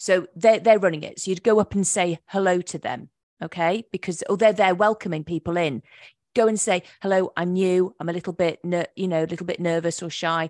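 A woman with an English accent speaks at medium pitch and a fairly quick pace. The sound is dry and close with no echo over a quiet background. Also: fairly even intonation. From England. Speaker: hypnotherapist. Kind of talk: interview. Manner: halting.

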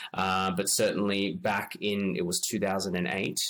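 Fairly low in pitch, a man talks in an Australian accent. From Australia, Sydney. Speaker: marketing consultant. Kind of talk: interview. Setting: at home, remote.

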